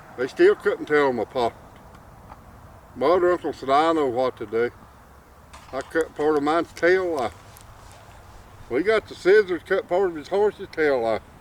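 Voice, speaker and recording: With an Appalachian accent, a man speaks at a moderate pace and a fairly high pitch, using lively intonation and long, frequent pauses. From Appalachian mountains. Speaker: storyteller. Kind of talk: folk tale telling.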